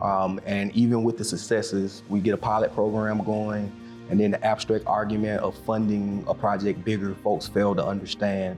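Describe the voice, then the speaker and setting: Over music in the background, a man with a Southern US accent speaks at a moderate pace in a fairly low, flat monotone at very even loudness. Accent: Southern US (Georgia). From Macon, Georgia, USA. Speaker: county commissioner. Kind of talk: interview answer.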